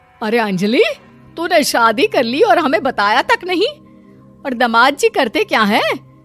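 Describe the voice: A woman puts on a cartoonish character voice, high-pitched and fairly bright, with big pitch swings at a fairly slow pace. Faint music plays in the background.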